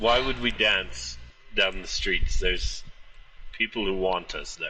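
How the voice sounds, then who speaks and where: In a put-on character voice, a man speaks at a fairly slow pace. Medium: actual play. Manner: blunt, terse, literal.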